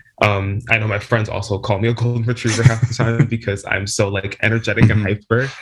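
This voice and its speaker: The speech runs at a very fast pace with hardly any pauses, somewhat breathy and flat and monotone in intonation. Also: man, medium pitch for a man. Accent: American. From South Jersey, US. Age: 20s. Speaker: pet play community member. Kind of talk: interview.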